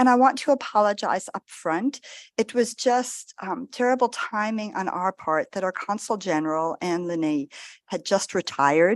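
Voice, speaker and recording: A woman's plain, everyday voice with an American accent, lively intonation and a moderate pace, in a dry, close sound with no echo over a quiet background. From US, New York State (Catskills). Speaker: diplomat. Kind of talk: formal speech at event.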